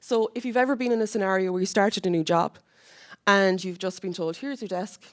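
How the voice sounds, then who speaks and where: With a Cork accent, a woman talks at a very fast pace and medium pitch, with ordinary pitch variation, in a very clean recording with a silent background. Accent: Cork Irish. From Ireland, Cork. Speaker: university academic project lead. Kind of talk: conference presentation. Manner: conversational, with fillers and restarts.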